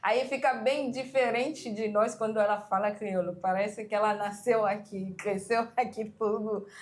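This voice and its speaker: A woman speaks in a Haitian Creole accent at a fairly high pitch. Her pace is fairly slow, with fairly even intonation and hardly any pauses. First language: Haitian Creole (speaking Portuguese). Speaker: Haitian immigrant parent. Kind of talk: documentary interview.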